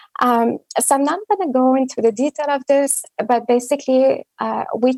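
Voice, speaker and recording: A woman's dark, mellow, high-pitched voice with a French accent at a fairly slow pace. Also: dry, close sound with no echo. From Quebec, Montreal. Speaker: genomics researcher. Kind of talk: conference talk. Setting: virtual meeting.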